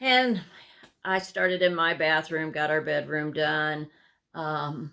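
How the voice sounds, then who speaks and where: Speech comes at a very slow pace in a bright, sharp tone with ordinary pitch variation. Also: woman, very deep, low pitch for a woman. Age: 60s. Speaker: cross-stitch vlogger. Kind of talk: casual chat. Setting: home sewing room, filmed to camera. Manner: halting, many fillers.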